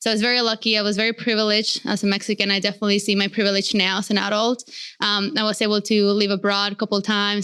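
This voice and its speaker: A woman talks very fast at a fairly high pitch, in a flat monotone with very even loudness and hardly any pauses. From Mexico, Morelos. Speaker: podcast host, guest. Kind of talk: casual interview chat. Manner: casual, many fillers.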